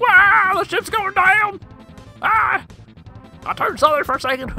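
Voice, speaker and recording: An extremely high-pitched, put-on character voice at a moderate pace over faint background music. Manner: fun, playful.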